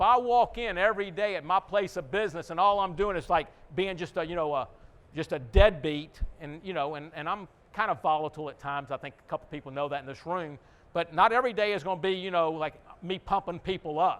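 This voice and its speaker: In a Texan accent, this voice moves at a very fast pace with big swings in loudness. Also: man, high pitch for a man, ordinary pitch variation. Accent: Texan American English. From Houston, Texas. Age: 60s. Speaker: restaurant owner. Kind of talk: conference talk. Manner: casual, conversational.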